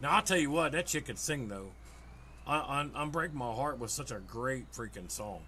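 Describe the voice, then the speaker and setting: The room's echo is audible. A man talks at a moderate pace. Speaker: gaming streamer. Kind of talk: casual chat.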